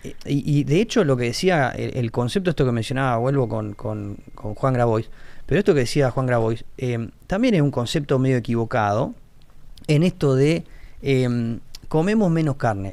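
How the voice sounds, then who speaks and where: A man talks at a moderate pace with a normal speaking voice at medium pitch. His intonation is lively. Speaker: agronomist. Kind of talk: casual panel discussion.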